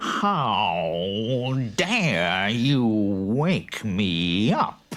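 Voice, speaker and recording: A man growls in a put-on character voice. His pitch sits fairly low. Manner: snarling, angry.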